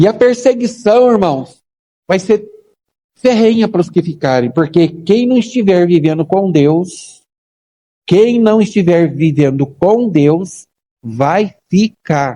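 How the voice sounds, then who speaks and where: A man's high-pitched voice, dark and mellow in tone, at a very slow pace with very even loudness. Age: 60s. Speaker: pastor. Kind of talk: sermon. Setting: church. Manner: emphatic, repetitive.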